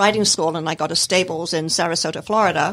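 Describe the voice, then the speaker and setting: A woman speaks with fairly even intonation. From Scotland. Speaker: service animal trainer, nonprofit founder. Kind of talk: radio interview. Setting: radio studio.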